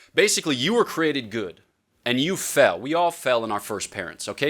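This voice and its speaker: At a fairly quick pace, a man speaks in an animated tone. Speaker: priest and theology professor. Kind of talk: lecture. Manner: fast.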